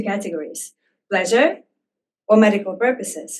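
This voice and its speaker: Her pitch variation is ordinary. The woman has a non-native accent. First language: not English. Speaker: researcher and harm reduction volunteer. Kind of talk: talk to a live audience. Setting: room with audience. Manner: hesitant, many fillers.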